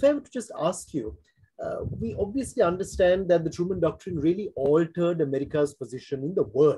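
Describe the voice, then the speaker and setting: In a dark, mellow tone, a man with a high pitch speaks over a quiet background, his pitch swinging very widely and his loudness shifting a great deal. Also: fairly quick pace. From Sri Lanka. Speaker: forum host, former diplomat; forum host. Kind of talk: interview. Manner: formal. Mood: polite, formal, appreciative. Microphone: video call.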